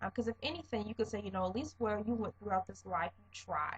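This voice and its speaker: A soft-spoken woman talks at a fairly quick pace. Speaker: vlogger. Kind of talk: casual monologue vlog.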